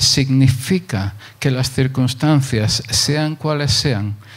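The voice is somewhat breathy and moves at a very slow pace. Its pitch variation is ordinary. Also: man. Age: 60s. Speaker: pastor. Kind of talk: sermon.

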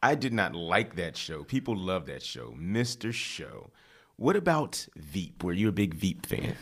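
On a very clean recording with a silent background, a man with a very deep, low pitch and vocal fry speaks at a fairly slow pace, his pitch swinging very widely. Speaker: podcast host. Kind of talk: casual chat. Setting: studio.

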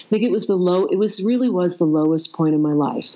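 Lively in intonation, this is an unremarkable speaking voice with an American accent. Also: woman. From US. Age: 50s. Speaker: coach and consciousness expert. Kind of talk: interview.

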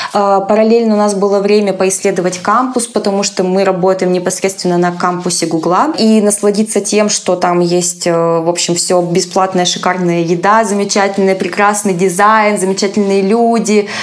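Amid noticeable background noise, a woman with a medium pitch speaks at a moderate pace in a flat monotone with very even loudness. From Russia, small town. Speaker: content moderator and psychologist. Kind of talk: interview.

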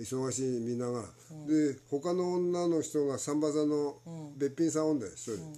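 A man's dark, mellow tone at a fairly quick pace with ordinary pitch variation. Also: fairly high pitch for a man. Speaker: spiritual teacher. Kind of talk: casual chat.

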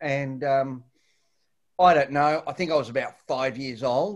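This man speaks at a medium pitch with an Australian accent. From Latin America, then Australia (Victoria). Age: 50s. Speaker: martial arts fighter and coach. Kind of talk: casual chat. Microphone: echo.

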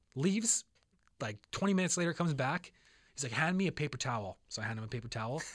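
The voice is somewhat breathy, with very wide pitch swings. It moves at a very fast pace. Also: man, fairly high pitch for a man. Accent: Canadian. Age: 20s. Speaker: podcast co-host. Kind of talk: casual chat.

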